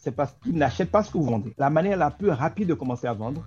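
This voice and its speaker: A man with vocal fry and a dark, mellow tone speaks at a very fast pace with lively intonation. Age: 40s. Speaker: entrepreneur and sales expert. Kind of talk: interview.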